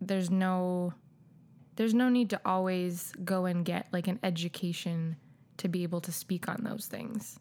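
Speaking in a Canadian accent, a woman uses a medium pitch and fairly even intonation at a fairly slow pace. The recording is very clean, with a silent background. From Calgary, Canada. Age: 30s. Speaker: substitute teacher and new mother. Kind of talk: casual chat.

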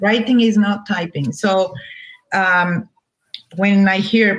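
Female speaker, Spanish accent. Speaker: novelist. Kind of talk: interview. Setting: video call. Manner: halting.

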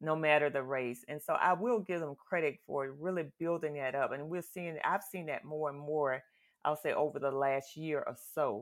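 A woman with an American accent and a very deep, low pitch at a moderate pace, on a very clean recording with a silent background. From US South. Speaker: guest, mother of a co-host. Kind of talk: casual chat.

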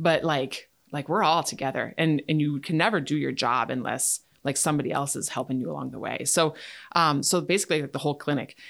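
A woman's very deep, low pitch with ordinary pitch variation, at a moderate pace in an Upper Midwest accent, on a very clean recording with a silent background. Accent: Upper Midwest American. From Wisconsin, Chippewa Valley. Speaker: dentist. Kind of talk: casual chat. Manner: halting.

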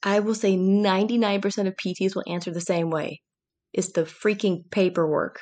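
Against a quiet background, a woman with an American accent speaks in an ordinary speaking voice at medium pitch with fairly even intonation. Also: moderate pace. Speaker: sports physical therapist. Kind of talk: casual interview chat.

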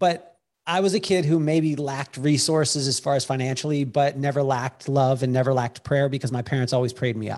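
This is a man with a plain, everyday voice and an American accent, pitched fairly high. He talks at a fairly quick pace with ordinary pitch variation against a quiet background. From Utah. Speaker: keynote speaker and author. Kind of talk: interview.

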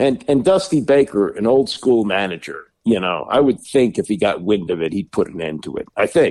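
A man with an American accent talks at a moderate pace in a medium pitch, his voice swinging very widely in pitch, showing vocal fry, with hardly any pauses. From Washington DC area. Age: 60s. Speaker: sports radio host. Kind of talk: casual chat.

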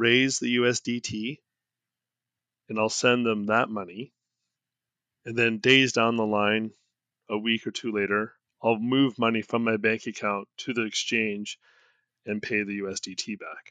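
A man with a Canadian accent, monotone, flat intonation, a fairly slow pace and long, frequent pauses. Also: medium pitch for a man. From Canada. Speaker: crypto investor, blogger. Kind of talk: interview.

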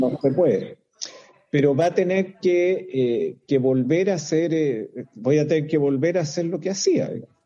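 A man speaks at a fairly slow pace in an ordinary speaking voice. His pitch is fairly high and varies in an ordinary way. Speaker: lawyer. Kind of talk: casual chat.

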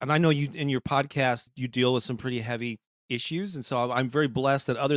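A man's medium-pitched voice with an American accent at a very fast pace, dry and close with no echo. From US Midwest, St. Louis, Missouri. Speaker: author and music marketing coach. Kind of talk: interview conversation.

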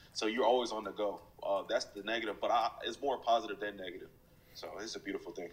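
A man with an American accent talks very fast, his loudness swinging widely. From US, military family, mostly North Carolina. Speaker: football player, draft prospect. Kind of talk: interview. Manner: casual, many filler words.

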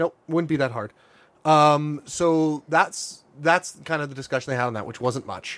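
Fairly high in pitch, a man speaks at a moderate pace with a normal speaking voice. His pitch varies in an ordinary way, while his loudness swings widely. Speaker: podcast co-host. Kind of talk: casual chat.

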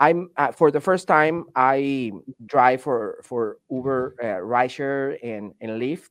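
A man with a fairly high pitch and a Venezuelan accent talks against a quiet background. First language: Spanish. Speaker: delivery driver and video content creator. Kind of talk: casual chat.

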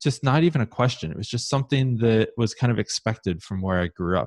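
Lively intonation in a Midwestern US accent, a dry, close sound with no echo, and a very clean recording with a silent background. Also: man. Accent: US Midwest. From Ohio, Columbus. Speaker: conversion optimization consultant. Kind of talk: interview.

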